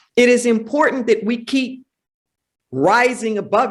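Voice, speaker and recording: A woman talks at a fairly slow pace in an animated tone, with vocal fry. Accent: American. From Los Angeles, US. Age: 60s. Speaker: minister and spiritual teacher. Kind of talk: interview. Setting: sanctuary, live event.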